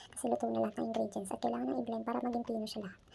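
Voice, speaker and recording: Very fast speech from a woman at a fairly high pitch, with ordinary pitch variation. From Philippines. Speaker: domestic worker vlogger. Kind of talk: vlog narration. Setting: indoors, hiding in cold area.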